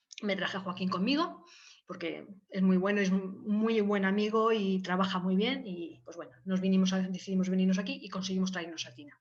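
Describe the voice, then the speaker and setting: Over audible room echo, a woman talks fairly quickly with fairly even intonation and big swings in loudness. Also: medium pitch for a woman. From Valencia, Spain. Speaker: biologist researcher. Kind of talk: informal talk with slides. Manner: hesitant, many fillers.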